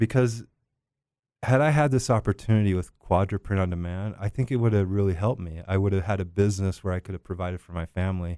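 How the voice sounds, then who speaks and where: Very fast and fairly low in pitch, a man's dark, mellow voice with ordinary pitch variation comes through a very clean recording with a silent background and a dry, close sound with no echo. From Brazil. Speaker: ecommerce company co-founder. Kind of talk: podcast interview. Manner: talkative.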